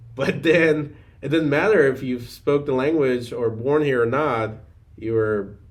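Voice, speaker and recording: Amid audible room echo, a man talks at a fairly slow pace with ordinary pitch variation. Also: medium pitch for a man. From Afghanistan. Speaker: physician assistant. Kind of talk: podcast interview. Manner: halting, many fillers.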